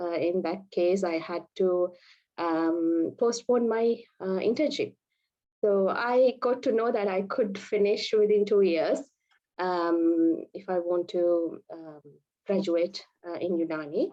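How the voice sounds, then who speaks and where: In a Sri Lankan accent, a woman speaks very slowly. Her pitch moves in an ordinary way. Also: medium pitch for a woman. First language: Sinhala. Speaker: Ayurvedic and Unani doctor. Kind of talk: webinar presentation. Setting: online webinar. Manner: hesitant, many fillers.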